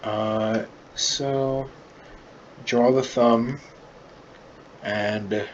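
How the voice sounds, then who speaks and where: A man at medium pitch, fairly even intonation, and noticeable background noise behind him. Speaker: art tutorial creator. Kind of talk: drawing tutorial. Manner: casual, filler-heavy. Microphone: far from the mic, poor mic quality.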